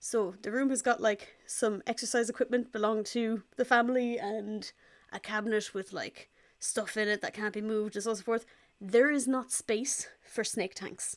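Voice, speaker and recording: A woman with an Irish accent talks at a moderate pace and fairly high pitch in a monotone, flat intonation, on a very clean recording with a silent background. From Ireland. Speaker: pet vlogger. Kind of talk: casual vlog update. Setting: parents' living room.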